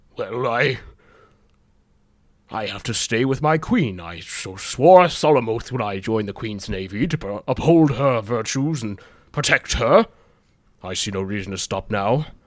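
In a very clean recording with a silent background, a man uses a put-on character voice at a moderate pace, with long, frequent pauses. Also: medium pitch for a man. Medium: actual play. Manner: solemn, earnest.

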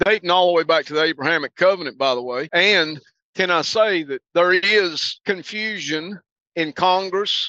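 High male pitch with ordinary pitch variation. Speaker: podcast co-host. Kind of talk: casual chat. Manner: composed.

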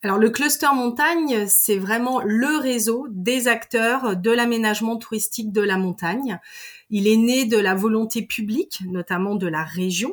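A woman talks at a fairly slow pace with ordinary pitch variation. The recording is very clean, with a silent background. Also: fairly high pitch for a woman. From Savoie, French Alps. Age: 40s. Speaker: deputy director of a mountain tourism network. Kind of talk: interview. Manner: halting, many repetitions and fillers.

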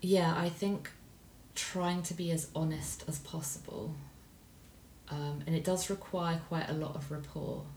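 A woman with a very deep, low pitch speaks fairly slowly and fairly evenly, leaving long, frequent pauses, with audible room echo around her. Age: 40s. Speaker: parent of host. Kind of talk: casual chat.

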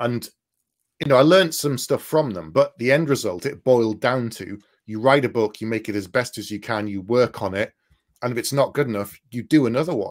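Speaking fairly quickly in a northeast English accent, a man uses a medium pitch with ordinary pitch variation. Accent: north east English. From north east England. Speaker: fantasy author. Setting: video call.

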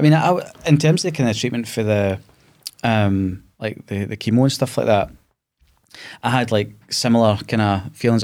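In a very clean recording with a silent background, a man with a Glasgow accent speaks at a moderate pace. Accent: Scottish (Glasgow). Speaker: podcast host, cancer survivor. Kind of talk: casual interview. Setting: studio.

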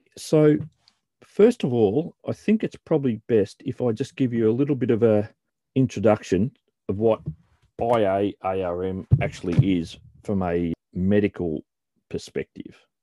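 A man with an Australian accent speaks at a moderate pace with long, frequent pauses. His fairly low voice has a dark, mellow tone and ordinary pitch variation, in a dry, close sound with no echo. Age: 50s. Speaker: podcast host and author. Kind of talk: scripted narration.

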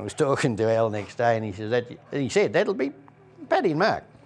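A man with a rural Australian accent speaks at a medium pitch and a fairly quick pace. Noticeable background noise is present. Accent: broad rural Australian. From Australia, rural Victoria (Trentham). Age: 60s. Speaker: local old-timer. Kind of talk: casual reminiscing interview. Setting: pub.

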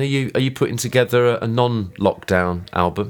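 This is an unremarkable speaking voice from a man. His pitch is medium with ordinary variation, at a moderate pace. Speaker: podcast host. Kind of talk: casual chat.

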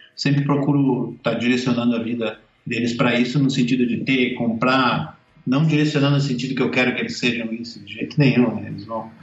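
In an ordinary speaking voice, a man of medium pitch talks at a fairly quick pace with fairly even intonation. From southern Brazil, Caxias do Sul, Rio Grande do Sul. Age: 50s. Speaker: cartoonist. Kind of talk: casual interview.

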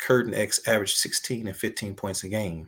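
A man talks at a moderate pace in an ordinary speaking voice, fairly low in pitch, with fairly even intonation. The recording is very clean, with a silent background. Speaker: basketball coach and ministry director. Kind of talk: casual interview.

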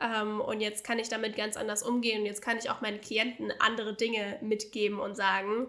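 Her voice is fairly high for a woman. She keeps up a fairly quick pace. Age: 20s. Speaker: business coach. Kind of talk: casual interview. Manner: animated.

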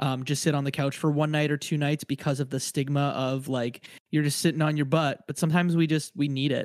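Speaking at a fairly quick pace, a man with an American accent and a fairly high pitch keeps his intonation monotone and flat. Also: very clean recording, silent background. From Windsor, Ontario, Canada. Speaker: podcaster guest. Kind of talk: casual chat.

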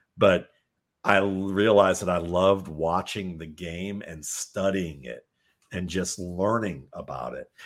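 In a very clean recording with a silent background, a man with a very deep, low voice speaks with big swings in loudness. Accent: American. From Cleveland, Ohio. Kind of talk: casual interview chat. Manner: halting, many filler words.

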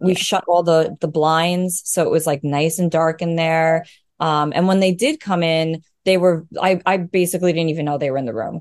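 With a New York accent, a woman speaks at a moderate pace in a fairly low pitch with fairly even intonation. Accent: New York American. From US, Long Island, New York. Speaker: new mother sharing birth story. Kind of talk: casual interview, personal story.

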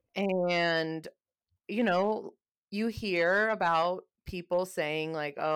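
A woman talks at a medium pitch with lively intonation. It is an ordinary speaking voice. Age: 20s. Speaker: podcast co-host. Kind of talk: casual chat. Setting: remote call.

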